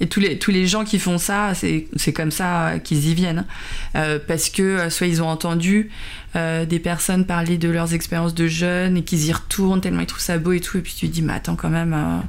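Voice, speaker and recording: Her voice sits at a fairly low pitch for a woman. She keeps a moderate pace with monotone, flat intonation. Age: 40s. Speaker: color designer and video blogger. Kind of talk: casual chat. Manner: hesitant, many fillers.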